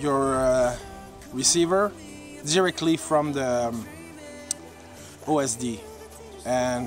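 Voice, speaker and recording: A man at medium pitch with a French Canadian accent, lively intonation, a very slow pace and long, frequent pauses, dry sound with no echo, and clear music in the background. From Quebec, Canada. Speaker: hobby drone vlogger. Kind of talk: casual vlog talk to camera. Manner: hesitant, many filler sounds. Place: forest. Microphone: phone near.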